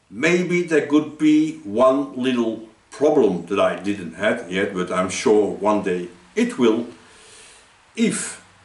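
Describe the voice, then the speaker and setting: Room echo is audible throughout. A man talks very slowly. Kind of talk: tutorial. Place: workshop. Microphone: camera far.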